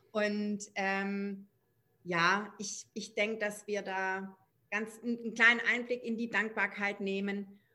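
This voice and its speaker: Delivered at a very slow pace, this bright, sharp voice stays monotone and flat on a very clean recording with a silent background. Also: woman, medium pitch for a woman. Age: 40s. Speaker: parenting coach. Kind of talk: casual interview.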